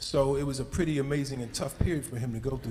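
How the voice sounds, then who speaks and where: Fairly quick speech comes through with audible echo from the room and noticeable noise behind it. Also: man. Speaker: speaker at a community event. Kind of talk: public remarks to an audience.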